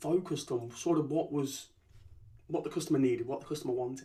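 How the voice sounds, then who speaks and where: Fairly high in pitch and somewhat breathy, a man with a Leicester accent talks at a fairly quick pace in a dark, mellow tone. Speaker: company founder and CEO. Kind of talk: podcast interview. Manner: repeats words, stammering starts.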